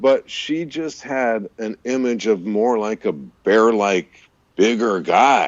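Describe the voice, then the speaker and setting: The pitch variation is ordinary. A man speaks at a very slow pace. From US Southwest (California, rural Arizona, Missouri). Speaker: voice-over artist and radio DJ. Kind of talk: casual chat. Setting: live stream video call.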